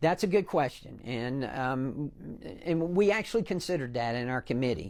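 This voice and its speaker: The speaker has a Southern US accent. The intonation is lively. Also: man, very clean recording, silent background. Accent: Southern American. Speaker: congressman and former pharmacist. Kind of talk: TV interview. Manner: animated.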